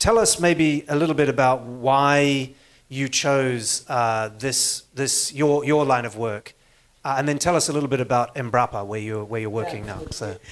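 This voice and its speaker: Here a man speaks with a New Zealand accent and a medium pitch. He goes at a fairly slow pace with ordinary pitch variation. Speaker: panel moderator. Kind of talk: panel discussion.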